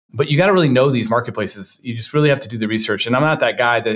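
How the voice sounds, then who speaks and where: A man speaks with ordinary pitch variation. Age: 30s. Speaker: digital marketing agency founder and investor. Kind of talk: casual interview.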